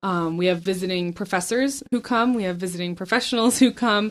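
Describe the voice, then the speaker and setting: A woman with a normal speaking voice talks at a fairly quick pace. Her pitch is medium and her intonation fairly even. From grew up in Southeast Asia, born in Michigan. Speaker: university communications and outreach coordinator. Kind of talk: interview. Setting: office.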